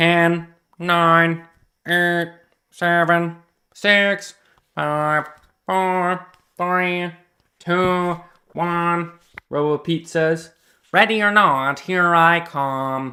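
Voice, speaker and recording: In a put-on, robotic character voice, a man speaks high for a man at a very slow pace, with long, frequent pauses. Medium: read story. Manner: stiff, mechanical robot voice.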